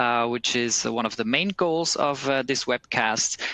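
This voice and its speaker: A man with a Swiss German accent, medium-pitched, bright and sharp in tone, with ordinary pitch variation, dry and close with no echo against a quiet background. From German-speaking Switzerland, Bern. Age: 30s. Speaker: recruiter. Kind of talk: webcast presentation. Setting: office.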